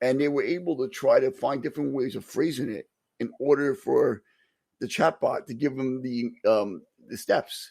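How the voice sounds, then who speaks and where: On a very clean recording with a silent background, a man with a New York accent talks at a moderate pace. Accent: New York (Staten Island). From Staten Island, New York. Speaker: podcast co-host, locksmith and EMT. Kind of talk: casual chat.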